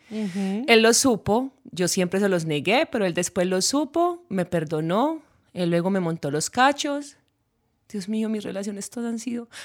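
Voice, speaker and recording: Delivered at a fairly slow pace, the speech has an animated tone and very wide pitch swings. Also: woman, medium pitch for a woman, very clean recording, silent background. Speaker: podcast co-host, musician. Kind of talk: casual chat.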